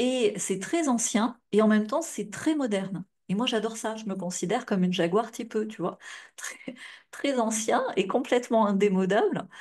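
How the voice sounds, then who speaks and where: Somewhat breathy and fairly high, a woman's voice moves at a moderate pace with ordinary pitch variation. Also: quiet background. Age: 40s. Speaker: futurologist and life coach. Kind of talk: live stream talk to viewers. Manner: casual, filler-heavy.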